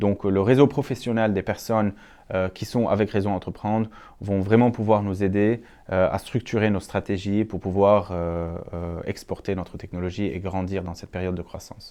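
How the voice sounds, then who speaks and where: Against a quiet background, a man talks with fairly even intonation in a fairly low, dark, mellow voice. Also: moderate pace. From Lebanon. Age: 30s. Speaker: entrepreneur, startup founder. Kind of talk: interview monologue. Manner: frequent hesitations (euh).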